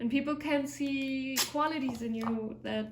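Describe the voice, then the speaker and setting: A woman with a German accent speaks at a high pitch, her intonation fairly even. Audible room echo and noticeable background noise surround her voice. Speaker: vlogger, fitness instructor. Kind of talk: casual vlog monologue. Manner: reflective, hesitant.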